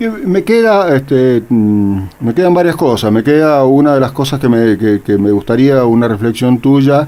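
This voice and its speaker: With a dark, mellow tone at medium pitch, a man speaks with lively intonation and hardly any pauses. His loudness stays very even. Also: fairly slow pace. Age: 60s. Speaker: radio host. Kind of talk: radio interview.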